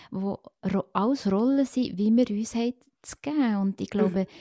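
Recorded very cleanly against a silent background, a woman speaks at a medium pitch in a dark, mellow tone with fairly even intonation, the sound dry and close with no echo. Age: 40s. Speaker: podcast guest, friend of the host. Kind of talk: casual chat.

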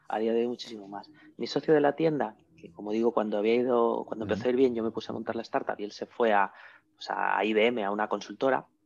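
A man with a medium pitch, very fast pace and fairly even intonation. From Spain, León province. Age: 40s. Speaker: entrepreneur. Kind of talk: interview. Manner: halting, with frequent repetitions.

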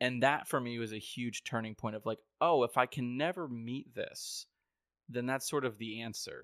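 A plain, everyday voice with an American accent, fairly even intonation and a moderate pace, recorded with a dry, close sound with no echo and a very clean, silent background. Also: man, medium pitch for a man. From upstate New York. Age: 30s. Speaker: podcast host. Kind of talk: casual chat.

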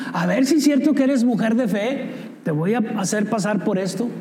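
A man talks in an extremely high pitch at a moderate pace with ordinary pitch variation. Room echo is audible. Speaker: pastor. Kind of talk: sermon.

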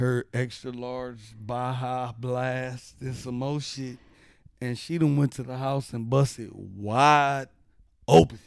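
The speaker has an American accent and a very slow pace. The intonation stays monotone and flat. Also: man, big swings in loudness. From US Midwest, Cleveland, Ohio. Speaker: rapper and barber. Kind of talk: casual chat.

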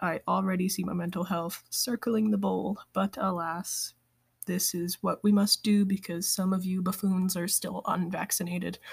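Her voice somewhat breathy, a woman speaks at a fairly slow pace and medium pitch with monotone, flat intonation. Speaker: podcast host. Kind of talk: casual podcast monologue. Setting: at home, quarantined.

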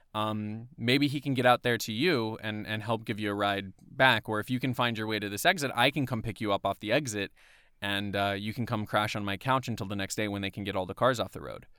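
A man with a bright, sharp tone and a fairly low pitch talks at a fairly quick pace with ordinary pitch variation, recorded very cleanly with a silent background and a dry, close sound with no echo. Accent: American. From US South, Atlanta area, Georgia. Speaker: podcast co-host, voiceover artist. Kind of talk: casual chat. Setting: recording booth. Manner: animated.

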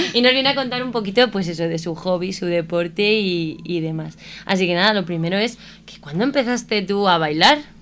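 Amid noticeable background noise, a woman with a medium pitch speaks at a fairly quick pace in an animated tone, with lively intonation and big swings in loudness. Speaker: radio host. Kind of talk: casual chat.

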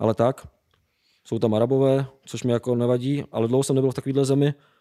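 A man talks at a very fast pace in a medium pitch, his dark, mellow tone held in monotone, flat intonation. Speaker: traveller. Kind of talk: casual chat.

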